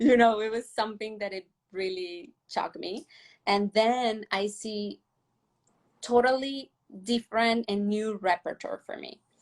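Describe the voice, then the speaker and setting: A woman with a Mexican accent, fairly high in pitch and fairly slow, with big swings in loudness, long, frequent pauses, and a dry, close sound with no echo. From Mexico (Monterrey). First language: Spanish. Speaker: professional ballet dancer. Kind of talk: interview. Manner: halting.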